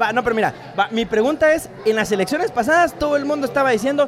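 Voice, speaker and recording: A man talks at a very fast pace with lively intonation. Noticeable background noise runs underneath. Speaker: lawyer and podcast co-host. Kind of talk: casual chat. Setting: live in a bar.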